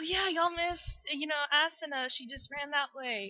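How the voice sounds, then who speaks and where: With noticeable background noise, a woman in a Texan accent speaks at a moderate pace. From Texas. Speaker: interviewer. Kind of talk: interview.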